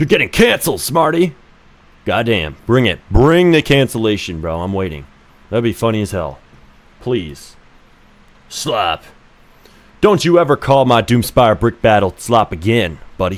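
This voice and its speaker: A man talks at a medium pitch with vocal fry and very wide pitch swings. His pace is moderate, broken by long, frequent pauses. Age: 20s. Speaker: game developer streamer. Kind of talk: live stream commentary. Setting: live stream. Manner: animated.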